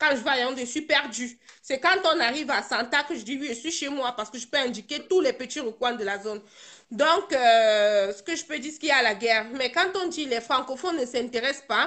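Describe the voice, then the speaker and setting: Talking at a fairly quick pace, a high-pitched woman shows big swings in loudness and ordinary pitch variation. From Cameroon, Bamenda (North-West region). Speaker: participant in a live video discussion. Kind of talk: live online discussion, personal testimony. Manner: halting, many repetitions and hesitations.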